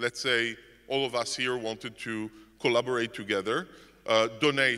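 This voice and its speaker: Here a man speaks with a non-native accent at a moderate pace. His tone is bright and sharp. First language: not English. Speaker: conference speaker. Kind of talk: conference talk. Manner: halting, many repetitions and fillers.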